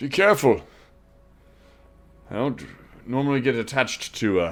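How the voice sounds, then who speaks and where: Over music in the background, a man uses a gruff, put-on character voice at a medium pitch, with lively intonation and a moderate pace. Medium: actual play. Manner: gruff, candid.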